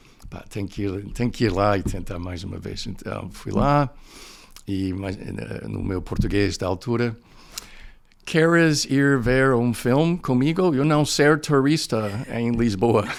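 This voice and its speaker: With an English accent, the speaker uses lively intonation and big swings in loudness at a fairly slow pace. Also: man, medium pitch for a man. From United States, snowy region. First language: English (speaking Portuguese). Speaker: professor, podcast guest. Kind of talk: interview, personal storytelling. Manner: hesitant, many fillers.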